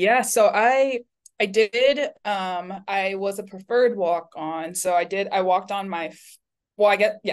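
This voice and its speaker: A woman with an American accent and an ordinary speaking voice talks at a fairly slow pace, at medium pitch with ordinary pitch variation, over a quiet background. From Florida, US. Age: 20s. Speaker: PhD candidate and researcher. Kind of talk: casual interview chat.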